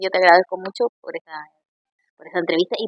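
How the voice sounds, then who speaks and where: The intonation is lively. The speaker has an Argentine accent. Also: woman. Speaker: actress and comedian. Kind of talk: interview.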